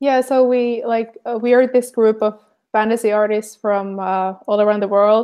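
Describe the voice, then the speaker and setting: A woman speaks at a moderate pace with a Finnish accent. Her fairly high pitch stays monotone and flat. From Finland. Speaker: artist and show host. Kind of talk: casual chat. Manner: halting, many fillers.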